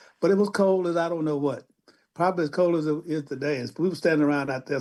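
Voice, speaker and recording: A man's fairly high, dark, mellow voice at a very fast pace. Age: 80s+. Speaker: civil rights veteran, museum director. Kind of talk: radio interview. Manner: halting, many repeated words.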